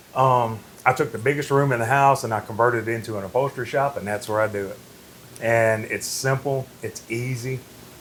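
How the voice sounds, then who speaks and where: A man talks fairly quickly at a medium pitch, with fairly even intonation. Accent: Mississippi. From Mississippi Delta, Indianola. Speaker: furniture designer and upholsterer. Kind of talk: casual interview chat.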